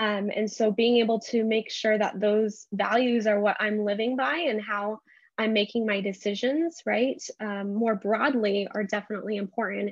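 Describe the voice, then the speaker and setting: A woman speaks with a Californian accent. Her pitch is fairly high. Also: fairly even intonation, moderate pace. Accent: Californian American. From US, San Jose area, California. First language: Urdu. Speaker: school board member. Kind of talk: interview.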